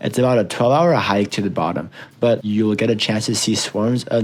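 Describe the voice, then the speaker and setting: With an unremarkable speaking voice, a man talks at a moderate pace and a fairly low pitch, with ordinary pitch variation. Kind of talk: mock travel infomercial read.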